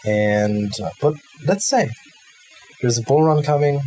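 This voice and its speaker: Someone speaks with a German accent while music plays in the background. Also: man. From Germany. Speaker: crypto YouTuber. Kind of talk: tutorial. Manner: halting.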